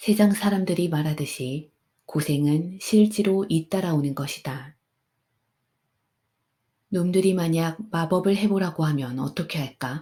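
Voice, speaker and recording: At a fairly slow pace, a woman speaks in a calm, dark, mellow tone, somewhat breathy, with a fairly low pitch and ordinary pitch variation. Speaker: audiobook narrator. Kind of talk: sleep story. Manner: soft-spoken, calm.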